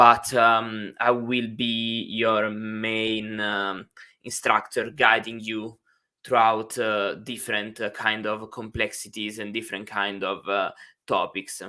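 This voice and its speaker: A bright, sharp voice with an Italian accent, very slow, with monotone, flat intonation. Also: man, fairly low pitch for a man, very clean recording, silent background. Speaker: university instructor. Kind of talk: lecture. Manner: hesitant, many fillers.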